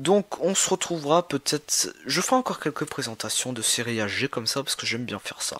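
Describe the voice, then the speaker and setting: A man speaks fairly quickly in a fairly high voice with ordinary pitch variation. The sound is dry and close, with no echo. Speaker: YouTuber, figurine collector. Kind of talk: casual vlog talk. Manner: halting.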